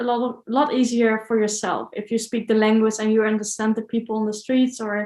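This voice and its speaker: This is a woman speaking. She has a Dutch accent. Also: very clean recording, silent background. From Netherlands. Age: 30s. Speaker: traveler and video creator. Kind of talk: interview.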